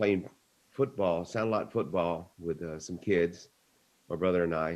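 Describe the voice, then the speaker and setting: The speech comes at a fairly slow pace in a Texan accent. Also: man. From Texas, Bloomington near Victoria. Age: 60s. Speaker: speaker telling personal story. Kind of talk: personal story in a meeting. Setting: video call.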